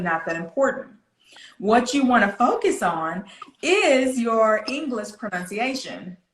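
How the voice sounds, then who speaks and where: At a fairly slow pace, a woman with a Southern US accent speaks with lively intonation. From US South, Florida. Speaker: pronunciation coach. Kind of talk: interview.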